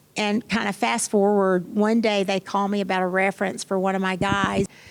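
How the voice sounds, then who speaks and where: Animated, fairly quick speech from a woman with a strong Kentucky accent, on a very clean recording with a silent background. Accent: Kentucky accent, still strong. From Kentucky, small town. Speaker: tech executive. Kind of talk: panel interview.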